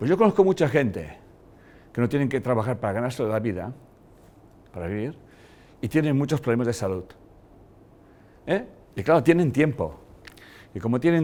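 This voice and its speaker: The delivery has lively intonation at a fairly quick pace, on a very clean recording with a silent background. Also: man. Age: 60s. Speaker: lecturer. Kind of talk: lecture. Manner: halting.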